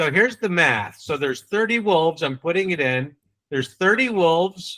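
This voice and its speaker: Speaking in a New England accent, a man with high pitch has a bright, sharp, animated tone, lively intonation and a moderate pace. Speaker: sales trainer. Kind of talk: training session.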